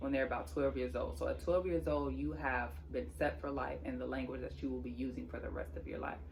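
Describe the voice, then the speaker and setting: Speech at a moderate pace plays against noticeable background noise. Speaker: sign language teacher on video channel. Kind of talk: tutorial channel introduction.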